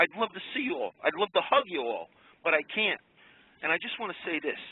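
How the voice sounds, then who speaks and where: A man with an American accent and a high pitch talks at a moderate pace. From Long Island, New York. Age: 60s. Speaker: caller, garbage man. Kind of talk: call-in radio talk. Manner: emotional, rambling.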